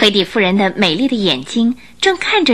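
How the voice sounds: The tone is bright and sharp, delivered at a moderate pace. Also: woman.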